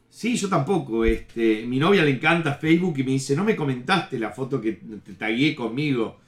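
A man's medium-pitched voice with a Uruguayan accent, lively intonation, a moderate pace and hardly any pauses, over noticeable background noise. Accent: Rioplatense Spanish (Uruguayan). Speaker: comedian. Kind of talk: casual chat.

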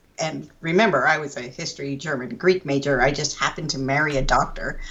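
With lively intonation, a plain, everyday voice goes at a fairly quick pace. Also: woman. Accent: American. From Pennsylvania. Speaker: writer and editor. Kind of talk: interview conversation. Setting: at home.

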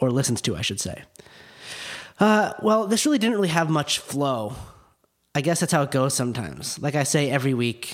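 In a very clean recording with a silent background, a man with a General American accent and an unremarkable speaking voice talks at a fairly quick pace with a fairly high pitch. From Park City, Utah. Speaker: podcast host. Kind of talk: interview; casual monologue. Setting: guest's office.

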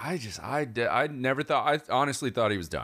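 A man talks at a very fast pace with vocal fry. The recording is very clean, with a silent background. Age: 30s. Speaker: baseball podcast co-host. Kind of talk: casual chat.

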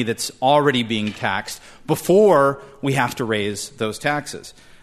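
An American accent marks a man's ordinary speaking voice. His pitch is medium, with ordinary pitch variation. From California. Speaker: policy researcher. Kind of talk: formal debate. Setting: stage with audience.

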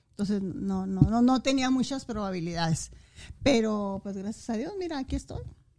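Her voice is fairly high in pitch with a dark, mellow tone, as the woman moves at a moderate pace with lively intonation. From Chihuahua, Mexico. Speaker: mother of the host. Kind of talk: casual family chat.

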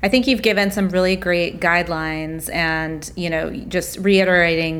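In an American accent, a woman with an unremarkable speaking voice talks at a moderate pace, fairly low in pitch and with fairly even intonation. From US South. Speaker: wedding podcast co-host. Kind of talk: casual interview.

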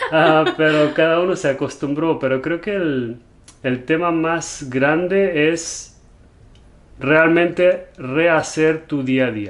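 Ordinary pitch variation marks a man's fairly high voice as he speaks at a very slow pace. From Germany. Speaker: entrepreneur, business partner of host. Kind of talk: casual chat. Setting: home, game room, on video.

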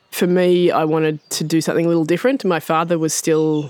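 This woman's pitch sits very deep and low. She talks with an Australian accent. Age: 40s. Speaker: farmer. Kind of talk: interview.

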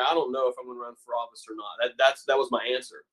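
A man with an American accent. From West Virginia. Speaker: former state legislator. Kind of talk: interview.

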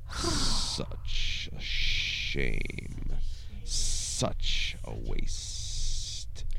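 Someone does a put-on character voice over loud background noise. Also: man. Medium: audio drama. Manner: menacing, grandiose.

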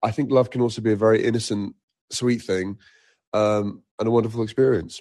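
With a British accent, a man talks at a medium pitch in a monotone, flat intonation. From Egypt and Nigeria. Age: 40s. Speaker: singer. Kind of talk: casual chat.

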